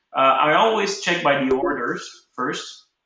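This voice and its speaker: A man speaks at medium pitch. Room echo is audible. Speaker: ecommerce webinar host. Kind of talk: tutorial. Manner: halting.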